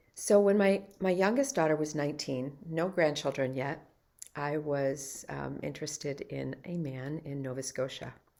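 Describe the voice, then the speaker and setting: A woman with an American accent has a very deep, low pitch and a dark, mellow tone. She speaks at a moderate pace with ordinary pitch variation. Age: 60s. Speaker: life and health coach. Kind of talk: personal story monologue.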